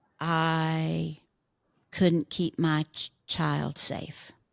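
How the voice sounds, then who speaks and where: Recorded with a dry, close sound and no echo, a woman speaks at a very deep, low pitch. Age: 70s. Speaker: Enneagram teacher and author. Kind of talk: interview conversation.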